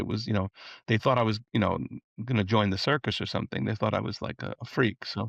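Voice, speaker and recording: A man with an American accent, fairly low in pitch with vocal fry, quick-paced and fairly even in intonation, dry and close with no echo against a quiet background. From US Northeast, Long Island, New York. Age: 70s. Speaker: music producer and composer. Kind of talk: interview.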